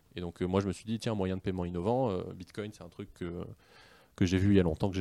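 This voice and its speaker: A man speaks very fast at a very deep, low pitch, with a dark, mellow tone and fairly even intonation. His loudness swings widely. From France, Paris region. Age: 20s. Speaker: business executive. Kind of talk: interview. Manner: hesitant fillers.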